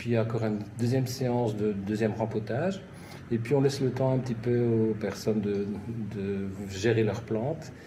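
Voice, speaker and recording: A man speaks at a moderate pace with long, frequent pauses and fairly even intonation, his tone dark, mellow and somewhat breathy. Audible room echo surrounds the voice. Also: medium pitch for a man. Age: 60s. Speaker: nurse and gardening enthusiast. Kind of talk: interview. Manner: halting.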